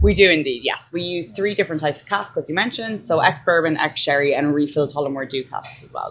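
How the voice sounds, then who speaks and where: With an Irish accent, a woman speaks very fast in a very deep, low voice, with hardly any pauses. Her pitch varies in an ordinary way, while her loudness swings widely. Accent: Irish, less sing-songy than Leitrim. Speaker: whiskey brand representative. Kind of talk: casual interview. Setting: live recording at a bar during a conference.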